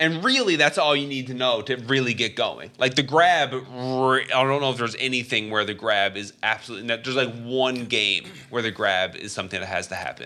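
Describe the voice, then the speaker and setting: A man talks at a fairly quick pace with hardly any pauses, his medium-pitched voice bright and sharp in tone. His pitch varies in an ordinary way. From Canada. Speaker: gaming podcast co-host. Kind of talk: casual chat. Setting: studio.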